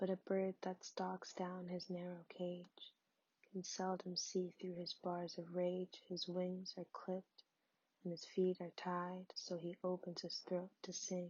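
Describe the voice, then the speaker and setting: Soft-spoken and somewhat breathy, a woman talks at a very slow pace in a medium pitch with monotone, flat intonation. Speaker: ASMR poetry reader. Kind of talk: poetry reading. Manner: soft-spoken, relaxing.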